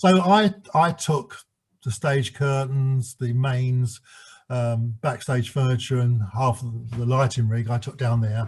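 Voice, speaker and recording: Very slow in pace, a man talks in a somewhat breathy voice at medium pitch with ordinary pitch variation. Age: 70s. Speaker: former stage manager. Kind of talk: interview. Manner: halting.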